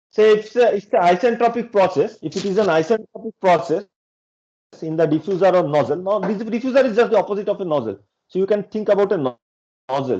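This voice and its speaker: A man with a high pitch and a dark, mellow tone talks at a very fast pace, his pitch varying in an ordinary way. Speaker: professor. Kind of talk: lecture.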